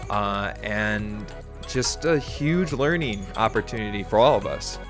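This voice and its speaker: Music plays in the background. Over it, a man talks at a fairly slow pace. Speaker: podcast host. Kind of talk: podcast intro.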